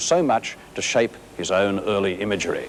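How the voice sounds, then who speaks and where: A man with a Sydney accent and very wide pitch swings, against noticeable background noise. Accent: Sydney, Australian. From Australia. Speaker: art critic. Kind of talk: documentary narration.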